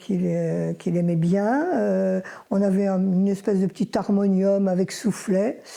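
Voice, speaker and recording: A woman speaks at a very slow pace, at a medium pitch with ordinary pitch variation. Her tone is dark and mellow. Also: very clean recording, silent background. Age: 80s+. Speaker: retired schoolteacher, mother of the subject. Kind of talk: documentary interview.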